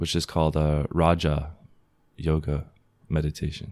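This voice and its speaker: With an American accent, a man speaks in a very deep, low voice with a dark, mellow tone. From Southern California. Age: 20s. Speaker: rapper. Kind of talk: casual chat.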